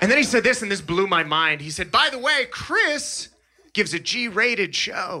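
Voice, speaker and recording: A raised, projected voice moves at a moderate pace with very wide pitch swings over light background noise. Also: man. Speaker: stand-up comedian. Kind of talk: stand-up comedy set. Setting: stage with live audience. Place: stage. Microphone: handheld.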